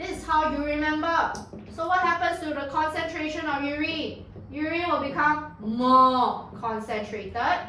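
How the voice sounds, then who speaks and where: In a room with audible echo and noticeable background noise, a woman talks in an animated tone at a high pitch. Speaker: secondary school science tutor. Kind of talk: lecture.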